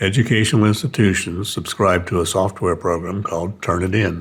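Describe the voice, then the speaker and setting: This man's voice is very deep and low in pitch, somewhat breathy, with fairly even intonation. He talks at a moderate pace. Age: 70s. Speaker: retired teacher, video creator. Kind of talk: talking-head video essay.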